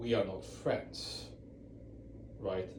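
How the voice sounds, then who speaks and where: Audible room echo surrounds a man who speaks at a very slow pace with a non-native accent. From Europe. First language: not English. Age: 40s. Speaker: ex-Jehovah's Witness video blogger. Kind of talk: casual talk to camera. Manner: halting, many repeats and fillers.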